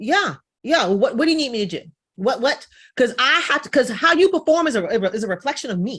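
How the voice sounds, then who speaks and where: The delivery is animated, with very wide pitch swings, big swings in loudness and a fairly quick pace. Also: woman, high pitch for a woman. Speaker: business coach. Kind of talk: podcast interview. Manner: fast.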